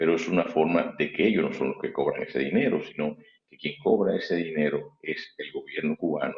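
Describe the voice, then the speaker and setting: The pace of this man's speech is moderate. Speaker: interview guest, political commentator. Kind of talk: TV interview. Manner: halting; soft-spoken. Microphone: too quiet.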